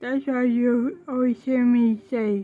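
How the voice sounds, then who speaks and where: A woman with a high-pitched voice at a very slow pace, music playing in the background. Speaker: vlogger. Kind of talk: casual monologue vlog.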